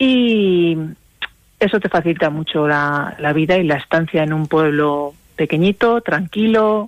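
In an ordinary speaking voice, a woman talks fairly slowly in a fairly low pitch with ordinary pitch variation and very even loudness. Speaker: rural entrepreneur. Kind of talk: radio interview.

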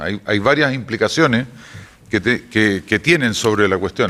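This man speaks at a fairly quick pace and a medium pitch. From Chile. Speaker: energy company executive. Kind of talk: radio interview.

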